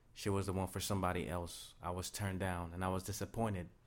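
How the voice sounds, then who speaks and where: A man with a very deep, low pitch speaks with audible room echo. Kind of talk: sermon-style talk.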